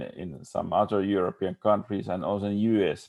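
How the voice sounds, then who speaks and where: This man has a Finnish accent and a fairly low pitch. His tone is dark and mellow, with fairly even intonation. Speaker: architect. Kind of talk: panel discussion. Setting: video call. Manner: halting.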